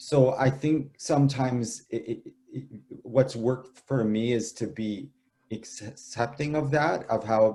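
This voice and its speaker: Speaking slowly-ish in a Canadian accent, a man has a dark, mellow, somewhat breathy tone at medium pitch with ordinary pitch variation. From Canada. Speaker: author and poet. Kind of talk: interview. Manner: halting.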